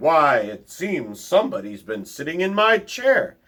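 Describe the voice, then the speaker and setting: A man puts on a character voice pitched high. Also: moderate pace. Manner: thundering.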